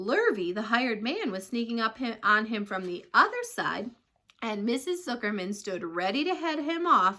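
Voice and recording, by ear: Here, the reading aloud is done in a natural voice.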